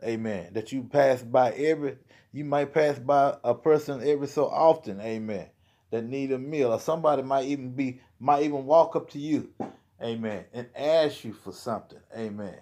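Against a quiet background, a man with a dark, mellow tone speaks with ordinary pitch variation and big swings in loudness. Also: moderate pace. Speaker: lay preacher. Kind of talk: sermon. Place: home room. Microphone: phone near.

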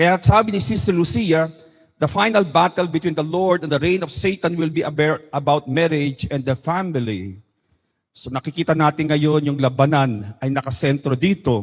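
At a moderate pace, a man speaks in a normal speaking voice that is fairly high in pitch, with lively intonation. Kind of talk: talk or homily.

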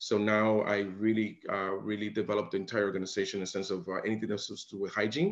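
Very fast speech over a quiet background. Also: man. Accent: American. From New York City. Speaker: dental hygiene executive; interviewee. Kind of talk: interview. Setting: video call. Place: home room. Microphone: video call.

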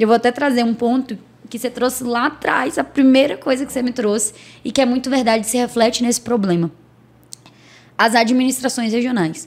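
Her voice is high in pitch for a woman. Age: 30s. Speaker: political candidate; candidate. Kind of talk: interview. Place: studio. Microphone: studio mic.

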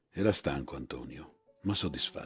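Music plays in the background while a man speaks. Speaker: actor and voice actor. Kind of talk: literary short story reading.

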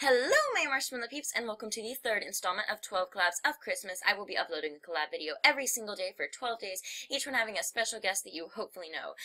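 Very fast speech with lively intonation over noticeable background noise. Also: woman, fairly high pitch for a woman. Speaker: gaming youtuber. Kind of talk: casual chat. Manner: hesitant, filler words.

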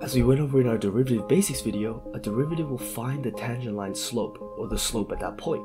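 A man's pitch varies in an ordinary way as he talks at a fairly quick pace with music in the background. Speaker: math tutorial creator. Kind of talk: educational tutorial narration.

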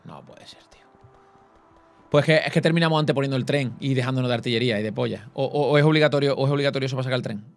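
Faint music plays in the background. A man talks at a very fast pace and fairly high pitch. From Cádiz, Andalusia, Spain; Andalusia, Spain. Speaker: gaming YouTuber. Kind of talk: casual gaming chat. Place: home room. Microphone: studio mic.

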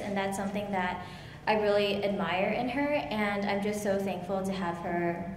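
Room echo is audible over light background noise. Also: woman. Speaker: guest. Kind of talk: interview answer. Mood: warm, grateful. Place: hall. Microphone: handheld.

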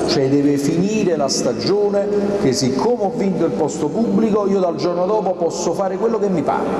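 A man's high-pitched voice at a fairly quick pace, with ordinary pitch variation, very even loudness, audible room echo and noticeable background noise. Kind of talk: public speech. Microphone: podium.

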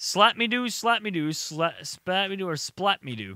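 At a fairly slow pace, a high-pitched man speaks in a dry sound with no echo over noticeable background noise. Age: 20s. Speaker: gaming YouTuber. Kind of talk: casual gameplay commentary. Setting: home recording with webcam. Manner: animated. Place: home room. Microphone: studio mic.

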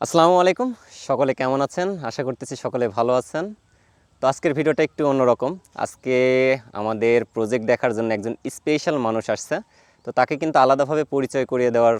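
A man with a plain, everyday voice, medium pitch and ordinary pitch variation, in dry, close sound with no echo. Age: young. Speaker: farmer and video host. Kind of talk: casual interview.

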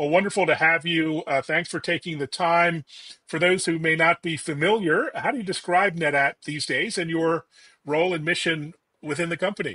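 A man's high-pitched voice, bright and sharp in tone, at a moderate pace, with a dry sound with no echo and a quiet background. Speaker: tech interviewer. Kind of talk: interview. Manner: upbeat. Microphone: video call.

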